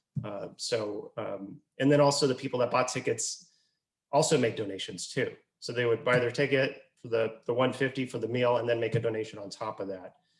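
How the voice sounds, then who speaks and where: A somewhat breathy man's voice at a medium pitch, with fairly even intonation and a fairly quick pace. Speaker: nonprofit executive director and fundraising speaker. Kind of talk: webinar presentation answering a question about fundraising events. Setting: video conference call. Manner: conversational, explanatory.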